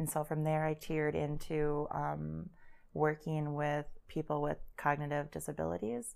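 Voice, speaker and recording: A woman with an American accent at a moderate pace, on a very clean recording with a silent background. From Wisconsin, US Midwest. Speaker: guest. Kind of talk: casual chat. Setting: studio.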